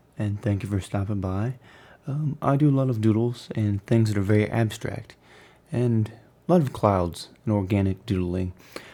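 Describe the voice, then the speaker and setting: A soft-spoken man talks at a moderate pace. His tone is calm and soothing, and his intonation is lively. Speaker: artist. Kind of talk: ASMR drawing commentary. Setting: background rain and music. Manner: calm, soothing, soft-spoken.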